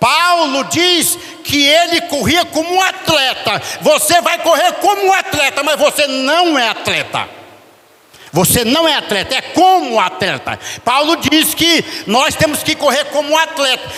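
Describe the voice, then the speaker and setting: Using a raised, projected voice, a man with an extremely high pitch speaks at a fairly slow pace with very even loudness and ordinary pitch variation amid noticeable background noise. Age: 70s. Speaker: preacher. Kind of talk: sermon. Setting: church.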